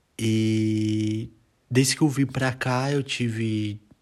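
A man's fairly low voice in a flat monotone, on a very clean recording with a silent background. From Brazil. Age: 20s. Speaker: podcast host. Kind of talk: solo podcast introduction. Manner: halting, with fillers.

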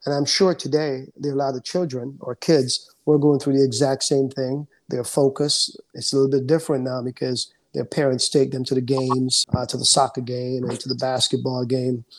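A man's medium-pitched, flat, monotone delivery at a fairly quick pace. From Jamaica, moved to the Bronx at 16. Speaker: insurance broker. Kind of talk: interview. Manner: calm; halting, with many fillers.

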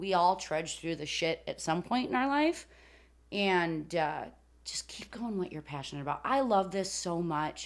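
A woman with an American accent and very wide pitch swings, in a very clean recording with a silent background. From Chicago area, Illinois. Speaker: country music content creator. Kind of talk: casual interview chat.

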